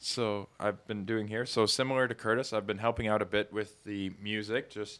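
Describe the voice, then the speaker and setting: With a normal speaking voice, a man talks at a moderate pace, his pitch fairly low and his intonation fairly even, in a very clean recording over a silent background. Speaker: church summer intern, engineering student. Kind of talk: casual interview chat.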